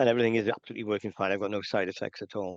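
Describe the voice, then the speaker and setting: Speaking with a Welsh accent, a man talks at a very fast pace. The background is quiet, and the sound is dry and close with no echo. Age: 60s. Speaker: men's health charity representative. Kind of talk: interview.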